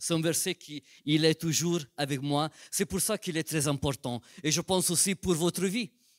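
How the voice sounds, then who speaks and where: A man with a non-native accent speaks at a fairly high pitch, recorded very cleanly against a silent background. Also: dry, close sound with no echo. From Italian-speaking Switzerland. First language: Italian (speaking French). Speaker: pastor. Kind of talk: sermon. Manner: slow, careful.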